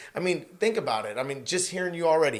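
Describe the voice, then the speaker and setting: A man speaks loudly at a high pitch. His tone is animated. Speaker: construction company owner and coach. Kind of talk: podcast interview, faith testimony.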